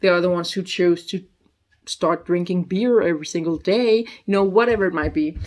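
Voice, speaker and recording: A woman with a Danish accent, medium pitch, fairly even intonation and a fairly quick pace. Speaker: youtuber. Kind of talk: casual vlog review. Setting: at her mother's house. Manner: halting; quiet.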